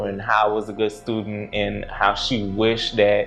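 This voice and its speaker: A man speaks at a fairly slow pace in a fairly low, flat monotone while music plays in the background. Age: 20s. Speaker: crime victim sharing his story in a docuseries. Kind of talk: casual talk to camera, reflective personal story.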